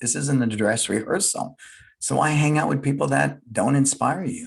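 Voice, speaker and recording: This man's voice sits at a medium pitch, with vocal fry, lively intonation and a moderate pace. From San Francisco. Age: 60s. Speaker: business leader and martial arts school owner. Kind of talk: casual chat.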